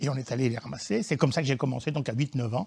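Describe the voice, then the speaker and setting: Very fast, somewhat breathy male speech in a very clean recording with a silent background. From Auvergne, France. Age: 70s. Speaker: geologist, professor emeritus. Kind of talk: interview, popular science explanation.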